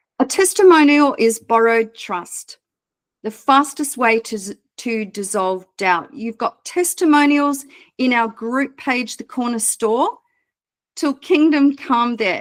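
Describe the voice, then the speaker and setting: The speech comes very slowly, in an Australian accent. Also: woman, high pitch for a woman. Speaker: business mentor. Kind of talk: online mentoring session. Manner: casual.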